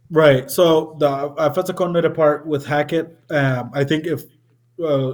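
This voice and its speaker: A man's somewhat breathy voice moves at a fairly quick pace, its pitch varying in an ordinary way. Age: 20s. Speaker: caller, Packers fan. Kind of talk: casual chat.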